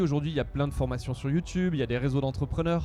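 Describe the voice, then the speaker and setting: A man speaks at a fairly high pitch with ordinary pitch variation while music plays in the background. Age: 40s. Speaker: entrepreneur. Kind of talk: interview. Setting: outdoors at music festival. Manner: hesitant with fillers.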